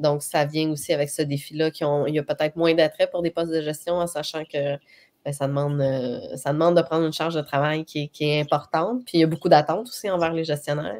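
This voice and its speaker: Talking at a very fast pace, a woman with a very deep, low pitch uses ordinary pitch variation. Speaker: HR trainer and coach. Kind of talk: live webcast discussion.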